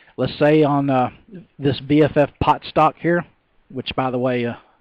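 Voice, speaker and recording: Speaking in a Texas accent, a man keeps a moderate pace and a medium pitch. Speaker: stock trader. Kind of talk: tutorial. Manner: halting, many fillers and repeats.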